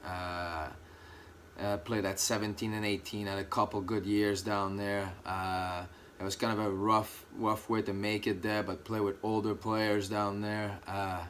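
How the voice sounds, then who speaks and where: Speaking at a fairly slow pace in a French Canadian accent, a man holds a fairly low pitch with monotone, flat intonation. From Quebec, Canada. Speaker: former college hockey player. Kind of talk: interview. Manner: hesitant, many fillers.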